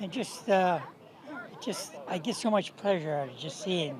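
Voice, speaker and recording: Lively intonation runs through speech at a moderate pace, with noticeable background noise. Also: man. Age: 80s+. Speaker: longtime golfer. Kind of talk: interview soundbite.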